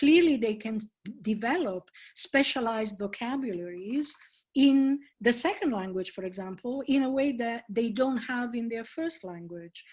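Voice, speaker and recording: A woman with an Italian accent, fairly high in pitch, at a moderate pace and with ordinary pitch variation. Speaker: professor. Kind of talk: conference Q&A answers.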